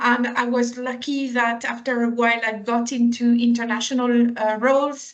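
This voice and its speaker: A woman with a French accent speaks in a high, flat monotone at a moderate pace, with hardly any pauses. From France. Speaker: compensation and benefits consultant. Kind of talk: interview.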